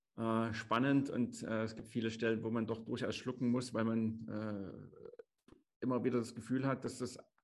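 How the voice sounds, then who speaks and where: A man at medium pitch talks at a moderate pace in an ordinary speaking voice. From Chemnitz, Saxony. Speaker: podcast co-host. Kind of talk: casual chat.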